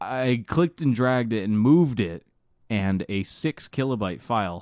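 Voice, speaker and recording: Heard dry and close with no echo, a man speaks at a moderate pace in a fairly low voice. It is an ordinary speaking voice with lively intonation. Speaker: podcast host. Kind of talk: casual chat.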